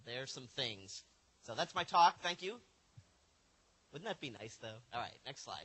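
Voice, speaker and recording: With an American accent, the speaker moves at a moderate pace, using very wide pitch swings, big swings in loudness and long, frequent pauses. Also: man, medium pitch for a man. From US Northeast (Buffalo, New York). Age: 40s. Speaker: supercomputing center director, keynote speaker. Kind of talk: conference keynote lecture.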